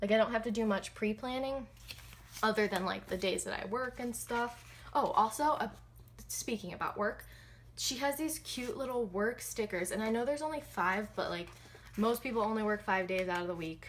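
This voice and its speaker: Soft-spoken and fairly high-pitched, a woman talks at a moderate pace with ordinary pitch variation. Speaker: planner hobbyist vlogger. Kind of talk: casual chat while planning. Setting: at home.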